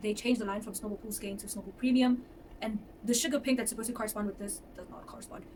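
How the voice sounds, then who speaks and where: There is noticeable background noise. A woman talks at a fairly high pitch with fairly even intonation. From South Africa, Johannesburg. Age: 20s. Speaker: fiber artist. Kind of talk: casual chat. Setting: at home.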